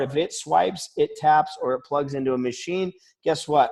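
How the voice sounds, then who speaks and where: A man speaks at fairly high pitch and a moderate pace. His tone is animated, with ordinary pitch variation. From Colorado, US. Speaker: network marketing presenter. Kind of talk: sales pitch. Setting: video call webinar. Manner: animated, many filler ums.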